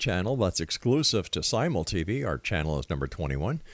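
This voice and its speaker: On a very clean recording with a silent background, a man talks at a moderate pace with vocal fry. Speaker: radio host. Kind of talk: radio interview.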